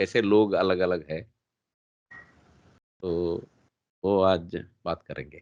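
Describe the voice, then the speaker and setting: Pausing often and at length, a man with a very deep, low pitch and a non-native accent speaks with fairly even intonation. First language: not Hindi (speaking Hindi). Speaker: show host. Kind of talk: interview. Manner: hesitant, mixing Hindi and English.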